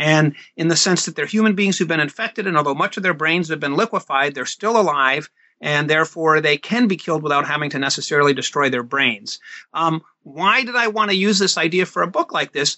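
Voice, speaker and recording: A man talks at a fairly quick pace with a normal speaking voice. His pitch is fairly high, with ordinary variation. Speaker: math professor and author. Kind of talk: interview about a book.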